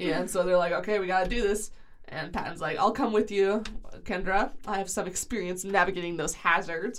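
An unforced reading voice carries the text with ordinary pitch variation.

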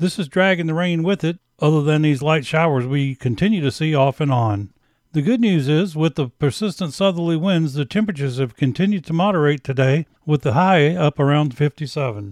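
Here is a man with an unremarkable speaking voice, fairly high in pitch. He talks at a fairly quick pace with lively intonation and hardly any pauses. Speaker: local meteorologist. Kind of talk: scripted local weather forecast, read straight through. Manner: steady, measured delivery, a rundown of numbers and fronts; friendly, folksy sign-off warmth.

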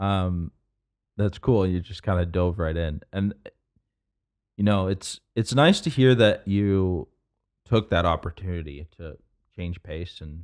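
A man speaks with a Canadian accent at a very deep, low pitch. His pitch varies in an ordinary way. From Canada, London, Ontario. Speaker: podcast host, biotech scientist. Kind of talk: casual interview.

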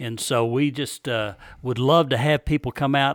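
A man's plain, everyday voice at medium pitch and a moderate pace, on a very clean recording with a silent background and a dry, close sound with no echo. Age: 60s. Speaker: prostate cancer survivor. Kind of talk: casual interview chat.

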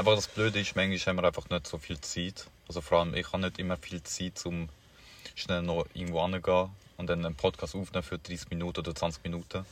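Mumbling at a very fast pace, a man talks with a very deep, low pitch and monotone, flat intonation. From Paraguay. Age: young. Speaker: podcast co-host. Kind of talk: casual chat.

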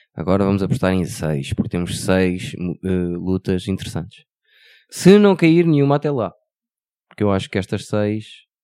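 This man has a dark, mellow tone and lively intonation, heard on a very clean recording with a silent background. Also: fairly low pitch for a man, moderate pace. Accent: European Portuguese. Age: 40s. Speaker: podcast co-host. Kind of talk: casual chat.

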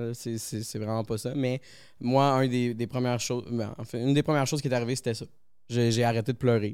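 Intonation stays fairly even in this recording, which presents an unremarkable speaking voice. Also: man. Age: 30s. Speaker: electronics technician. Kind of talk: casual chat.

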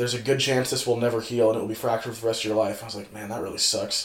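With an American accent, a man speaks in a monotone, flat intonation. Audible room echo is present. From California. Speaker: college track and field thrower. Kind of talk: casual chat.

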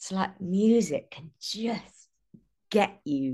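Against a quiet background, a woman with a British accent speaks at a medium pitch with lively intonation. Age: 30s. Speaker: singer-songwriter. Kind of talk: casual interview.

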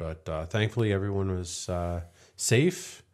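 In a very clean recording with a silent background, someone with an American accent speaks at a fairly slow pace. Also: man. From US East Coast. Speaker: podcast co-host. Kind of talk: casual chat.

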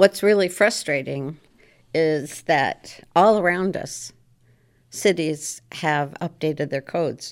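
A very slow delivery with an American accent and ordinary pitch variation, on a very clean recording with a silent background. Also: woman, fairly low pitch for a woman. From Maryland. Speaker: former state legislator. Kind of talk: casual chat. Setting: studio.

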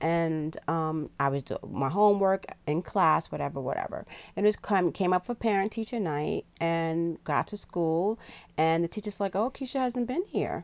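Over a silent background on a very clean recording, a woman with an unremarkable speaking voice talks at a moderate pace and fairly low pitch with lively intonation. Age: 50s. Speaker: podcast co-host, mother. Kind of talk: casual chat.

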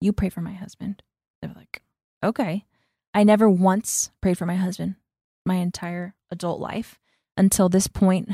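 A woman speaks in a dark, mellow, somewhat breathy tone with monotone, flat intonation at a moderate pace with long, frequent pauses, in a dry, close sound with no echo on a very clean recording with a silent background. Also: medium pitch for a woman. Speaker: missionary, host's wife. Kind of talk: casual chat.

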